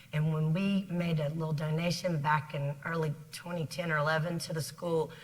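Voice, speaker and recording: With audible room echo, a woman speaks in a very deep, low pitch and an American accent. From South Carolina. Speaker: business executive. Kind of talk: interview. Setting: stage with audience.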